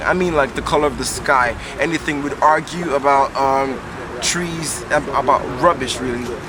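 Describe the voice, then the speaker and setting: This man's fairly high voice carries fairly even intonation over noticeable background noise. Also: moderate pace. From Nigeria. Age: 20s. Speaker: poet. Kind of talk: interview answer. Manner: casual, hesitant.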